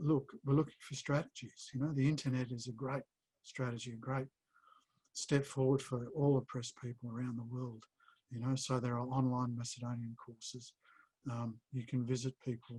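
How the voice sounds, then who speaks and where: A man with an Australian accent speaks at a moderate pace and medium pitch, his dark, mellow tone somewhat breathy and his intonation monotone and flat, in a dry, close sound with no echo. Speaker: publisher and editor. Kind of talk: Q&A interview. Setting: video call. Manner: halting.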